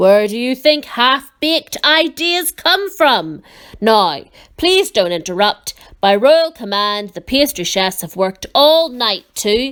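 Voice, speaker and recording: A female-sounding, gruff put-on character voice, high in pitch and raised and projected, with very wide pitch swings at a fairly slow pace. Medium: read story. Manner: gruff, impatient.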